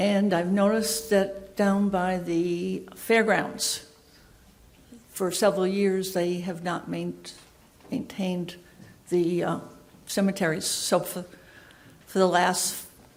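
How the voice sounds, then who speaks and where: A woman speaks at a very slow pace in a monotone, flat way at a medium pitch, with long, frequent pauses. Noticeable background noise and audible room echo surround her. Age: 80s+. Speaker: resident speaking at town meeting. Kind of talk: public comment at town meeting.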